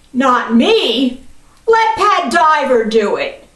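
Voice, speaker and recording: A woman's put-on character voice, high-pitched, with very wide pitch swings, a very slow pace and audible echo. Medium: read story. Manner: gruff, threatening.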